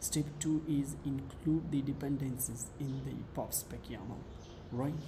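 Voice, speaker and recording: A man at a medium pitch and fairly slow pace, fairly even in intonation, with audible room echo and noticeable background noise. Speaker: programming tutorial creator. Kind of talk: tutorial. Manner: halting, many fillers.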